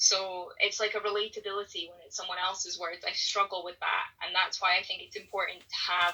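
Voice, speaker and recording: A woman in a Scottish accent talks at a fairly quick pace with monotone, flat intonation and big swings in loudness, amid noticeable background noise. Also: medium pitch for a woman. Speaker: painter. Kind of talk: casual chat. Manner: hesitant, many fillers.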